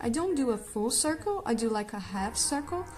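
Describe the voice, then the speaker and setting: A woman with a non-native accent at a moderate pace, audible room echo and music in the background. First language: not English. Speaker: art tutorial creator. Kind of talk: drawing tutorial. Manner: casual, hesitant with fillers.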